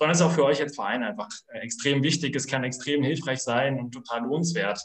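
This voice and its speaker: Against a quiet background, a man talks at a fairly quick pace. His pitch is fairly high, with ordinary variation. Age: 20s. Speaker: sports club director; guest. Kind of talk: online panel discussion. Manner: halting. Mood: enthusiastic, friendly. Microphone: video call.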